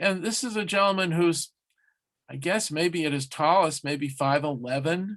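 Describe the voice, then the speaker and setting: A man speaks at a moderate pace in a fairly high voice, with ordinary pitch variation. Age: 60s. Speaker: sports museum curator. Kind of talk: interview. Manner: animated.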